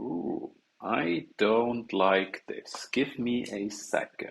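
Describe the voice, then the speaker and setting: With a non-native accent, a man talks at a very slow pace, his pitch varying in an ordinary way. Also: medium pitch for a man. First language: not English. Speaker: game developer live streamer. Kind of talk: live coding stream chat. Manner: casual rambling, animated.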